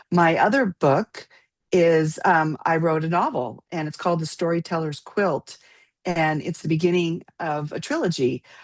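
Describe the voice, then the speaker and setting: An American accent comes through at a moderate pace with ordinary pitch variation. The sound is dry and close, with no echo. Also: woman, fairly low pitch for a woman. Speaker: children's book author. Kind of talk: interview. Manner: halting.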